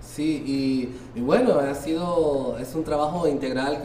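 With a Honduran accent, a man speaks at a fairly high pitch and fairly even intonation, amid noticeable background noise and audible room echo. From Honduras, Tegucigalpa. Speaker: robotics coach at a children's center. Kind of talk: interview.

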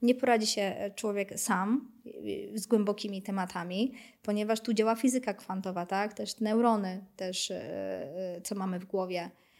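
A woman's unremarkable speaking voice at medium pitch, fairly even in intonation and moderate in pace, on a very clean recording with a silent background. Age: 30s. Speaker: fortune teller. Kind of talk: casual interview.

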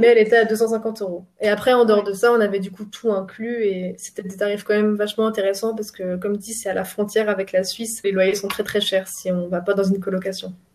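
A woman talks very fast with hardly any pauses, in a monotone, flat intonation. Noticeable background noise runs underneath. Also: medium pitch for a woman. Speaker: student. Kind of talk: interview.

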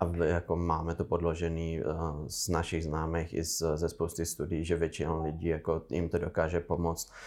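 In a very clean recording with a silent background, a man with a very deep, low pitch speaks at a moderate pace in a flat monotone with very even loudness. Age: 20s. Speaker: cannabis entrepreneur. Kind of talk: casual interview.

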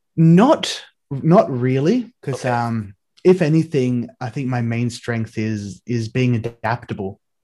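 In an Australian accent, a man speaks with a dark, mellow tone. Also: medium pitch for a man, ordinary pitch variation. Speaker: digital artist. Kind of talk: casual interview.

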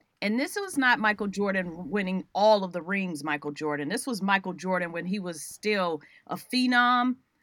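Over a silent background on a very clean recording, a woman at medium pitch talks at a moderate pace in an animated tone, with lively intonation and hardly any pauses. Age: 50s. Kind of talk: interview.

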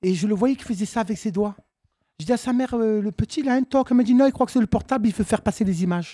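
Somewhat breathy and dark, mellow in tone, a woman speaks very fast at a fairly high pitch with ordinary pitch variation, in a dry, close sound with no echo. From Marseille, southern France. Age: 50s. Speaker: comedian. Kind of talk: casual chat. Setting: stage with audience.

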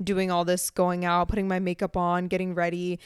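A woman with an American accent talks at a fairly quick pace in a plain, everyday voice of medium pitch, recorded dry and close with no echo against a silent background. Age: 20s. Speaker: podcast co-host. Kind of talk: casual chat.

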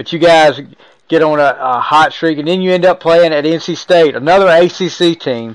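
An ordinary speaking voice, delivered at a moderate pace with fairly even intonation. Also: man, fairly high pitch for a man. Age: 40s. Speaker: podcast host. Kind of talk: casual interview.

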